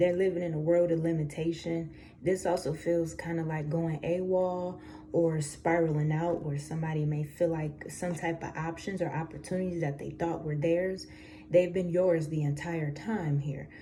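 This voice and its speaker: There is audible room echo around a woman's fairly low voice with a dark, mellow tone. She talks at a moderate pace with monotone, flat intonation. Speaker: tarot reader. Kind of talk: tarot reading. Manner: casual, conversational with fillers.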